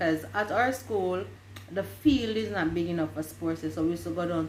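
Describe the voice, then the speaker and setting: A woman speaks with a very deep, low pitch and very wide pitch swings. Audible room echo surrounds her voice. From Jamaica, Westmoreland. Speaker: vlogger. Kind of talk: casual chat.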